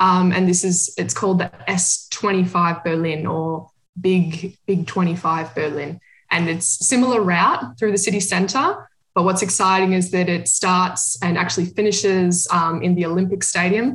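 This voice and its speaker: A woman with an Australian accent, fairly slow, with ordinary pitch variation. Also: medium pitch for a woman. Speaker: amateur runner. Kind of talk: casual chat.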